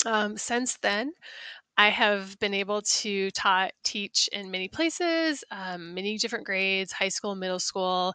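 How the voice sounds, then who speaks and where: In a slight North Midwestern accent, a woman speaks at a fairly slow pace and medium pitch with ordinary pitch variation, her voice dry and close with no echo against a quiet background. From US Midwest, South Dakota. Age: 40s. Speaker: science teacher. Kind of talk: self-introduction presentation. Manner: hesitant, many fillers.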